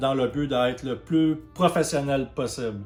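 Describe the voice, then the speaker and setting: A man's medium-pitched voice, monotone and flat, at a fairly slow pace. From Quebec. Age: 30s. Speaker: YouTuber, video game channel host. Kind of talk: channel introduction monologue. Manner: hesitant, many fillers.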